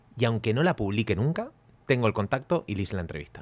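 A man talks at a medium pitch with lively intonation. His is an unremarkable speaking voice. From Argentina. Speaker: podcast co-host. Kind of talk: casual chat.

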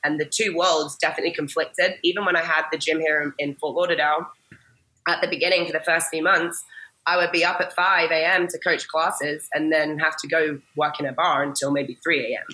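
Speaking with an American accent, a woman keeps a fairly quick pace in an energetic tone at a fairly low pitch. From England, later Massachusetts. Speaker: fitness coach and gym owner. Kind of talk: interview conversation.

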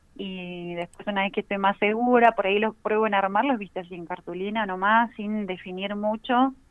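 A woman with an unremarkable speaking voice talks at a moderate pace and medium pitch, with fairly even intonation, hardly any pauses, and big swings in loudness. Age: 30s. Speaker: illustrator and teacher. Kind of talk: casual interview.

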